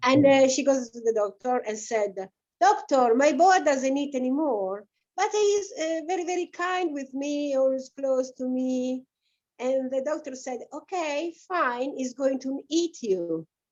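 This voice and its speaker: A woman with an Italian accent speaks in a high pitch with lively intonation. Her pace is fairly slow. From Italy, Adriatic coast near Rimini. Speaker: guest. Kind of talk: casual discussion. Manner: halting.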